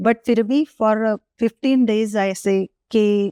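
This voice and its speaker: A woman speaks at medium pitch with ordinary pitch variation and a dark, mellow tone. The sound is dry and close, with no echo. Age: 60s. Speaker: gynecologist. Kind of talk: interview answer.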